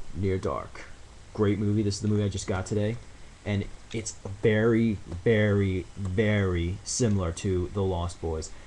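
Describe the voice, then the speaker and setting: A man speaks in a fairly low, dark, mellow voice with long, frequent pauses. The room echo is audible. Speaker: vlogger. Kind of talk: casual video blog. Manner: fast; animated.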